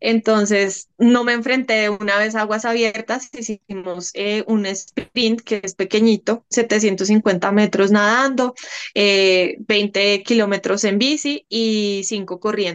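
A woman's fairly high-pitched voice with fairly even intonation at a very slow pace, in a dry, close sound with no echo. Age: 30s. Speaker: café owner and lawyer. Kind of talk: interview.

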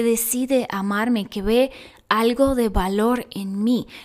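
Against a silent background in a very clean recording, a woman speaks slowly in a warm, fairly high-pitched monotone. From Russia. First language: Russian (speaking Spanish). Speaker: podcast host and actress. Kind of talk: casual chat. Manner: warm, conversational.

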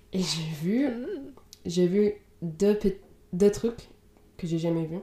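A woman's dark, mellow tone, delivered at a very slow pace with ordinary pitch variation. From Indiana, US. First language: English (speaking French). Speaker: podcast co-host. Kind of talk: casual book discussion. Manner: halting, many fillers.

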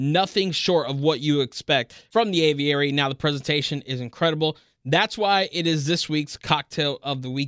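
A plain, everyday voice from a man with an American accent, fairly high in pitch, with ordinary pitch variation, a fairly quick pace, and a dry, close sound with no echo in a very clean recording over a silent background. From Miami, Florida. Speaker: food podcast host. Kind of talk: podcast news segment and casual interview.

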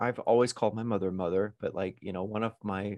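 Fairly quick, monotone, flat speech from a man with fairly low pitch, over a quiet background. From Arkansas. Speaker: Broadway and screen actor. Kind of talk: casual interview.

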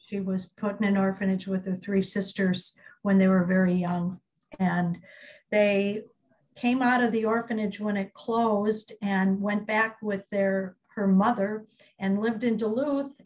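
A woman with a Minnesota accent speaks at a fairly slow pace and medium pitch. Her voice is somewhat breathy, with fairly even intonation. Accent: Minnesotan American English. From US Midwest. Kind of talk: oral history interview.

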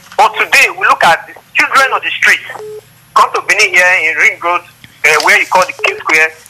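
There is noticeable background noise as a man speaks with big swings in loudness. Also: moderate pace. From Nigeria. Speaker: civil rights activist. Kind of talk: call-in opinion.

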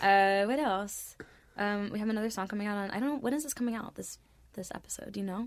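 A soft-spoken woman with a medium pitch and ordinary pitch variation talks at a very fast pace. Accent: American. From Florida. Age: 20s. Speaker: musician. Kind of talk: casual chat.

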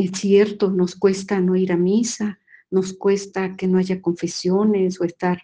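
A woman with a Mexican accent speaks at a fairly slow pace and medium pitch, her dark, mellow tone held in a monotone, flat intonation. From Mexico. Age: 50s. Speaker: nun giving a faith formation talk. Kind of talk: spiritual formation talk.

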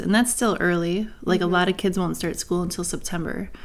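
A woman's plain, everyday voice at medium pitch, with an American accent and fairly even intonation. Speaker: podcast co-host, mother. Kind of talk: casual chat.

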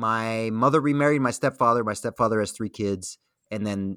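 This man has a fairly low voice with a bright, sharp tone. He speaks with an American accent and ordinary pitch variation. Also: dry, close sound with no echo, very clean recording, silent background. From Miami, Florida (Cuban-born). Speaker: comedian and Air Force veteran pilot. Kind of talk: casual interview chat.

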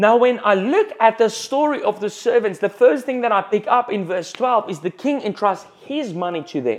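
Here a man with a high voice and a South African accent talks at a moderate pace. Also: ordinary pitch variation. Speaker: pastor. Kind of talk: sermon. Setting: church.

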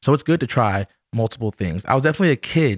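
Very clean recording of a man with an American accent, silent background, dry and close sound with no echo, ordinary pitch variation. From New York City. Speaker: actor and comedy writer. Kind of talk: casual chat.

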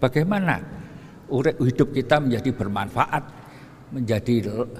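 Moderate pace and ordinary pitch variation from a man with medium pitch and an unremarkable speaking voice. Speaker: preacher. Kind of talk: sermon. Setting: mosque.

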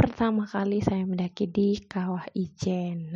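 Somewhat breathy and very slow, a woman of medium pitch talks in a monotone, flat intonation. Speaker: university student. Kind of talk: personal story monologue. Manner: hesitant with fillers.

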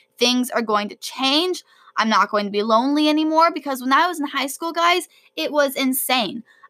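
A woman with a high pitch projects a raised voice in a bright, sharp, animated tone with lively intonation. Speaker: podcast host; college student and debater. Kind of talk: solo podcast monologue. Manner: fast.

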